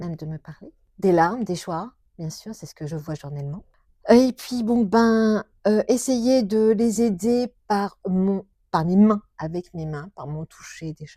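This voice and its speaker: Speaking at a very slow pace, a woman of medium pitch sounds somewhat breathy with a dark, mellow tone, lively intonation, and big swings in loudness, all dry and close with no echo. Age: 60s. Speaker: shiatsu practitioner. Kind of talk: interview. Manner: halting.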